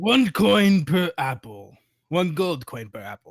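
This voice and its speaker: A man puts on a character voice with high pitch and very wide pitch swings. He talks fairly slowly in a very clean recording with a silent background. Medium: stage play. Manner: blunt, gruff.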